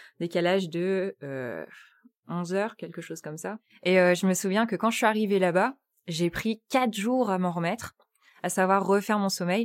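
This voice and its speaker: On a very clean recording with a silent background and a dry, close sound with no echo, a woman of medium pitch speaks at a moderate pace with ordinary pitch variation. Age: 20s. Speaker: interviewee training in human resources. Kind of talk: personal testimony. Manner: halting, many hesitations and repetitions.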